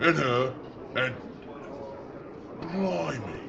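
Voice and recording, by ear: A man does a put-on character voice with vocal fry and lively intonation at a very slow pace, with clear background noise. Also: medium pitch for a man.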